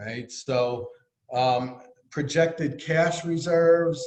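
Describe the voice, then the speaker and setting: With a Bronx accent, a man speaks with fairly even intonation. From New York City, the Bronx. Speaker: treasurer of a neighborhood business group. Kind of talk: financial report at a virtual annual meeting. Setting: video call.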